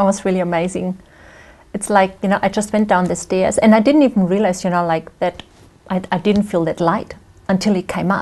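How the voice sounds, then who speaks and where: With a German accent, a woman talks at a fairly quick pace and medium pitch, keeping her intonation fairly even. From Germany. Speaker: guest speaker sharing faith story. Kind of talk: interview testimony. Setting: studio. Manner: conversational, many fillers.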